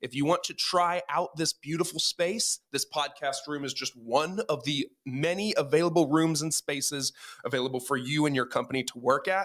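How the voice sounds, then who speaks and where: The sound is dry and close with no echo as a man speaks at a moderate pace. He has a fairly high pitch, ordinary pitch variation and a plain, everyday voice. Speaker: podcast host. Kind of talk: podcast sponsor read.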